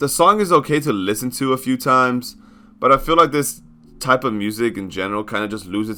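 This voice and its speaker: Lively intonation at a fairly quick pace, with big swings in loudness and music in the background. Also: man. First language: not English. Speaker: music reviewer. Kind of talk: video review commentary.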